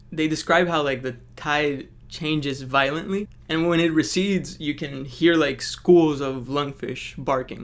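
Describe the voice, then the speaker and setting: In a non-native accent, a man speaks fairly slowly at a fairly high pitch, his intonation fairly even. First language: not English. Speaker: book reviewer. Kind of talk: casual analysis video. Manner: casual, frequent fillers.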